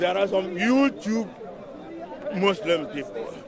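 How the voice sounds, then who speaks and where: A man at a very slow pace with very wide pitch swings, audible room echo and crowd noise in the background. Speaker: street preacher. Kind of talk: street interview. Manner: loud.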